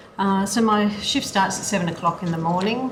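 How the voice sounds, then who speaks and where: A woman with an Australian accent, ordinary pitch variation, audible room echo and noticeable background noise. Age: 60s. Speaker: aged care worker. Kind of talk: witness testimony.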